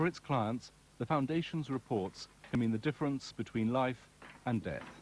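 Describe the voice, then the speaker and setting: At a moderate pace, a man speaks in an ordinary speaking voice with a medium pitch and very even loudness. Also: ordinary pitch variation. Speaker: journalist. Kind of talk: documentary narration.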